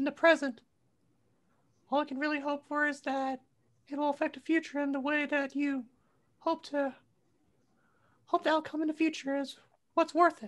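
A high-pitched put-on character voice at a moderate pace. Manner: laid-back, rambling, wise.

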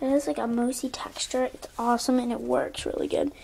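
At a moderate pace, a woman speaks in a high voice with fairly even intonation. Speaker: home vlogger. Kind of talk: casual vlog chat tour. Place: bathroom. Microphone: phone near.

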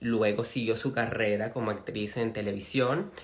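The background stays quiet as a man speaks. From Venezuela. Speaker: interviewer, channel host. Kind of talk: live stream interview. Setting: live video stream. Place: home room. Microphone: phone near.

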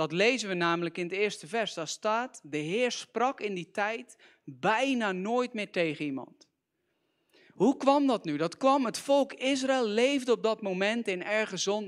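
A man speaks with a high pitch and lively intonation. The background is quiet. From Netherlands, near Gorinchem; Netherlands. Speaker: youth preacher. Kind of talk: sermon. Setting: church. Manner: animated. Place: church. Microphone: handheld.

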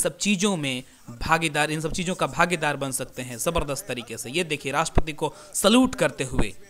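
Speaking with a fairly high pitch and ordinary pitch variation, a man keeps a moderate pace. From India. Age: 20s. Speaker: YouTuber. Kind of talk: live commentary. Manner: animated.

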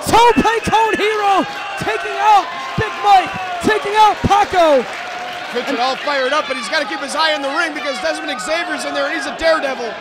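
A man shouting at an extremely high pitch, fairly quick pace and lively intonation, crowd noise in the background. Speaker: wrestling commentator. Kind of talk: live wrestling commentary. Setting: live event with crowd noise. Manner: excitable, rapid-fire play-by-play with shouted exclamations; animated, gasping reactions. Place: hall. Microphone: headset.

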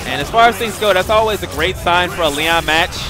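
The voice moves at a fairly quick pace with ordinary pitch variation. The sound is dry with no echo, and music plays clearly in the background. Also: man. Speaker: tournament commentator. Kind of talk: commentary. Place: hall.

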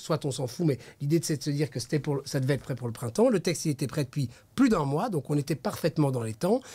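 A somewhat breathy male voice with a dark, mellow tone. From Brussels, Belgium. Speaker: regional MP, politician; politician. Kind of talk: political interview. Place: studio. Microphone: studio mic.

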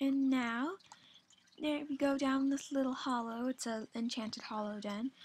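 Soft-spoken and high-pitched, a woman talks at a fairly slow pace. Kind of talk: casual game tour talk to viewers. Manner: soft-spoken, uneven volume; energetic, chatty.

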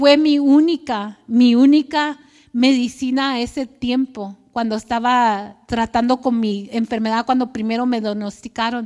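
The speaker goes at a fairly slow pace with hardly any pauses. Intonation stays fairly even, and the background is quiet. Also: woman, high pitch for a woman. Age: 50s. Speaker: churchgoer, clinic worker and cancer survivor. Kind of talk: testimony. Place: church.

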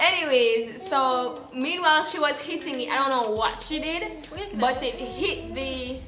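With ordinary pitch variation, a woman talks in a high pitch over noticeable background noise. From Jamaica. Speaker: storyteller vlogger. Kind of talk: casual storytime talk to camera. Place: home room.

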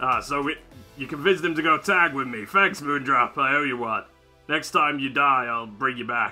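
Using a put-on character voice, a man talks at a moderate pace with a fairly high pitch. Faint music plays in the background. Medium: role play. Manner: teasing, playful.

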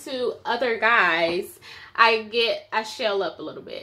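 A woman speaks with an American accent at a very slow pace. Her tone is bright and sharp. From US Midwest. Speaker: vlogger. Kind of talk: casual chat. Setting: at home on camera. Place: home room. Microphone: phone near.

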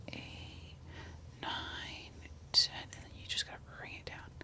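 A woman is whispering at a very slow pace. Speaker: ASMR creator. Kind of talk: ASMR whisper skincare routine. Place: home room. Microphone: studio mic.

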